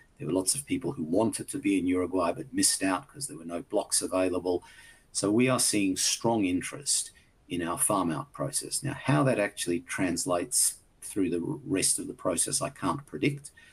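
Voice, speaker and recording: Somewhat breathy and fairly low-pitched, a man with an Australian accent talks at a moderate pace with lively intonation. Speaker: company executive. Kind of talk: investor presentation Q&A. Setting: virtual conference. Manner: hesitant, many fillers.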